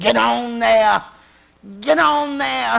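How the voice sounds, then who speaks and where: In a put-on character voice, a woman swings her pitch very widely from a fairly low base. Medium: stage play. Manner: terse.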